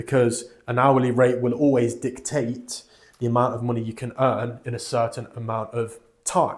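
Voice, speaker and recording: With a British accent, a man at medium pitch talks at a moderate pace in a somewhat breathy, monotone voice with flat intonation. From United Kingdom. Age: 20s. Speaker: financial advisor, channel host. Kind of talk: talking-head introduction video.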